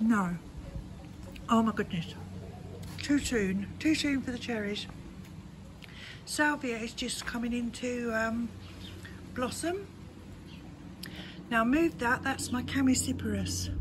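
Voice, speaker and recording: A woman with an English accent speaks very slowly in a relaxed tone, leaving long, frequent pauses. Her voice is fairly high, with ordinary pitch variation. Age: 60s. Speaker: gardening vlogger. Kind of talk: casual garden tour vlog. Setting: outdoors in her garden. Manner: chatty, relaxed.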